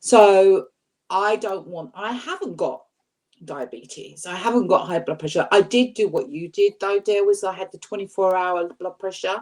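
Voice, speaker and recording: Here is a woman with an unremarkable speaking voice, medium in pitch, with ordinary pitch variation. She talks at a moderate pace with big swings in loudness. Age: 60s. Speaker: weight-loss YouTuber on a panel. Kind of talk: casual chat.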